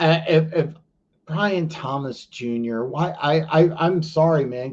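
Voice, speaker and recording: The somewhat breathy voice moves at a fairly slow pace with ordinary pitch variation. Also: man. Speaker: fantasy football podcast host. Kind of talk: live-stream call-in chat answering viewer questions. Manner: halting, many fillers and repetitions. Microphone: streaming quality issues, poor internet connection.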